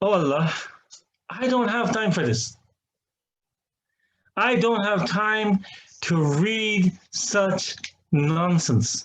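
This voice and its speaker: A man with a high voice talks at a very slow pace, with long, frequent pauses. His intonation is lively. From Ireland. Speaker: imam. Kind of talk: testimony. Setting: online seminar.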